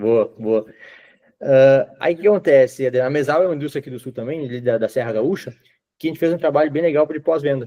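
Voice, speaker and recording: At a very fast pace, a man with a southern Brazilian accent speaks in a dark, mellow tone at a fairly high pitch with ordinary pitch variation. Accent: southern Brazilian (gaúcho). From southern Brazil, Rio Grande do Sul. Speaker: IT consultant / sales. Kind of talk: sales pitch on video call.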